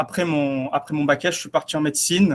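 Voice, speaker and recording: A man's fairly high-pitched voice in a slight southern French accent. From southeast France. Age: 20s. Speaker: navy cybersecurity officer. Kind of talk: interview. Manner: halting.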